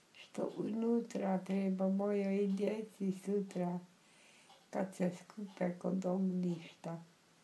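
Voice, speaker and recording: A woman's medium-pitched voice at a very slow pace, monotone and flat in intonation, very even in loudness, over noticeable background noise. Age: 80s+. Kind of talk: poetry reading.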